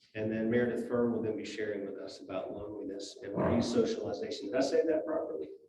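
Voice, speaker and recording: A man talks at a fairly quick pace, his voice carrying audible room echo. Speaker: hospital chaplain. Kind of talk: church talk / lecture. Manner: soft-spoken; halting.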